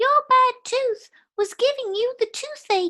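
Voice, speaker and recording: This is a put-on character voice, squeaky in sound. It moves at a fairly slow pace. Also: woman. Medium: read story.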